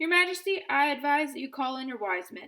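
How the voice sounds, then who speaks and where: In a put-on character voice, the speaker moves at a fairly quick pace with very wide pitch swings and big swings in loudness. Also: woman. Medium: read story. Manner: formal, measured.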